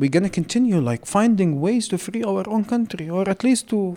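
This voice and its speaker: Speaking with an Arabic accent, a man has a high pitch and a dark, mellow tone. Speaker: humanitarian worker from Gaza. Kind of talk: interview conversation.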